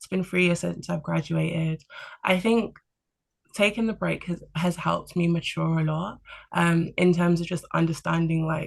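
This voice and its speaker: Speaking with a London accent at a moderate pace, a woman keeps a fairly low pitch and fairly even intonation while her loudness swings widely. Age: 20s. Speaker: podcast guest on career break. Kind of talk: casual chat. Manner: calm; hesitant fillers.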